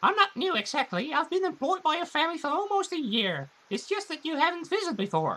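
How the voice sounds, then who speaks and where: This put-on character voice is high and squeaky, racing at a very fast pace with hardly any pauses. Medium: game stream. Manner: polite, deferential.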